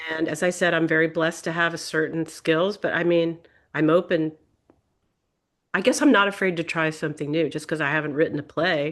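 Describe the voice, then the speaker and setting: A woman with a plain, everyday voice speaks at a moderate pace and a fairly low pitch against a quiet background. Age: 60s. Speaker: visual artist and protest artist. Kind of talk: Q&A discussion in a member meeting.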